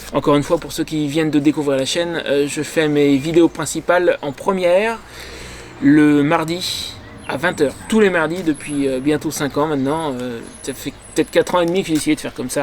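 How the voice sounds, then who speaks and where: A man talks at a moderate pace with fairly even intonation and a fairly high pitch. Noticeable background noise runs underneath. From France. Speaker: motorcycle travel vlogger. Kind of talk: casual vlog monologue. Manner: hesitant, many fillers.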